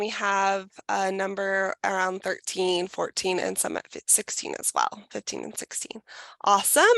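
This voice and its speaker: A woman speaks in a bright, sharp tone, the sound dry and close with no echo against a quiet background. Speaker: program staff presenter. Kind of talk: online information session presentation.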